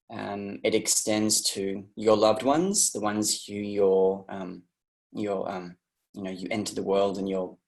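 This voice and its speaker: A fairly low-pitched man's voice with an Australian accent, at a fairly slow pace. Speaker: interview guest sharing personal story. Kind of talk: personal testimony. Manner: halting, many fillers and restarts.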